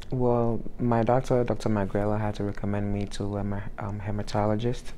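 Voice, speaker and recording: The speech moves at a fairly quick pace in a monotone, flat delivery, with audible room echo. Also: man. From Ghana. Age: young. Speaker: sickle cell transplant survivor. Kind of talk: interview.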